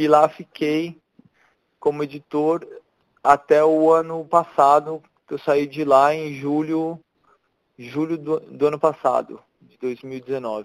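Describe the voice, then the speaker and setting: A man's fairly high voice at a fairly slow pace, with a dry, close sound and no echo. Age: 40s. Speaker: photojournalist and photo editor. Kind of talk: casual interview. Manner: halting, many repetitions.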